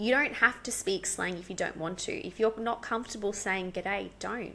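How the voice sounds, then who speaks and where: With an Australian accent, a woman speaks at a fairly slow pace. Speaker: English teacher. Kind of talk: podcast interview answer.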